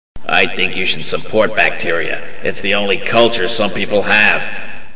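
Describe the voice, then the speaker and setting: Using a cartoonish character voice, a man speaks at a moderate pace and a fairly low pitch. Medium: puppet. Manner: sarcastic, wisecracking.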